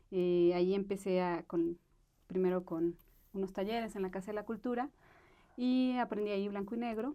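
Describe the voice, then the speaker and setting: With a dark, mellow tone, a woman speaks at a moderate pace, using ordinary pitch variation and long, frequent pauses. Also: medium pitch for a woman. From Mexico, Aguascalientes. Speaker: film director. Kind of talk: interview. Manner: halting, many fillers.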